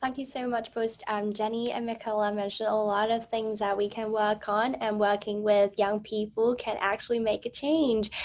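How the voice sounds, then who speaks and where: Speaking at a moderate pace, a woman with a fairly high pitch keeps her intonation fairly even. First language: not English (English is third language). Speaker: forum moderator and activist. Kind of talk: panel discussion. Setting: video call.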